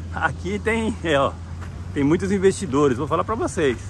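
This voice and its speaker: The dry sound with no echo carries noticeable background noise and a fairly slow pace with very wide pitch swings. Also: man. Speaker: real estate agent. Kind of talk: property tour video. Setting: outdoors walking around property. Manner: enthusiastic salesy. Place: open country. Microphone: phone near.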